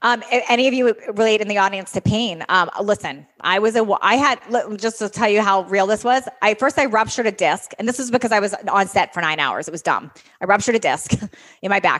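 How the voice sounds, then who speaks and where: A woman's unremarkable speaking voice at a fairly quick pace, with ordinary pitch variation. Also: fairly high pitch for a woman. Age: 40s. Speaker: fitness coach and podcast host. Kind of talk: interview. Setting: stage with audience.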